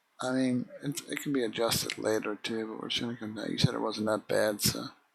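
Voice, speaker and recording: Soft-spoken and mumbling, a man talks at a fairly quick pace. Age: 50s. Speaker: video game streamer. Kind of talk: live gameplay stream commentary.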